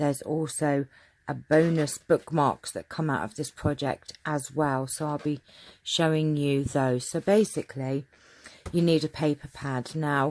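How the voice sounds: A woman talks at a fairly slow pace in a low, slightly mellow voice with fairly even intonation.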